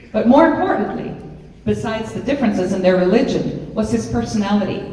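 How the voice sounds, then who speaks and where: A woman speaks in a fairly high pitch with lively intonation. Audible room echo and noticeable background noise surround her. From Colombia. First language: Spanish. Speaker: storyteller performer. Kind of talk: personal storytelling.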